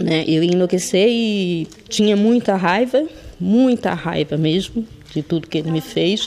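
The woman talks very slowly. Behind her there is noticeable background noise. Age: 40s. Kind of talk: testimony.

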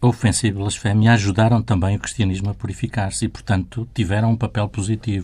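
A man's very fast, somewhat breathy delivery at a fairly low pitch, monotone and flat, with hardly any pauses. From Portugal. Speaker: journalist. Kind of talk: interview conversation.

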